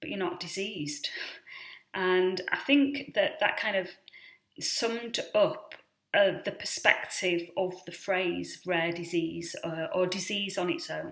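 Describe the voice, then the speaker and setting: A woman with a British accent, medium-pitched, very slow, with lively intonation and big swings in loudness. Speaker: vlogger on rare disease. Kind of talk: casual explainer vlog. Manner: hesitant, many fillers.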